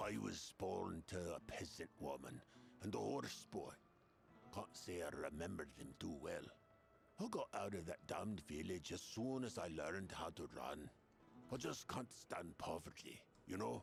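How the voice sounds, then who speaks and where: A man's put-on character voice, very deep and low in pitch, at a moderate pace over clear background noise. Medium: video game. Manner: cocky, rambling.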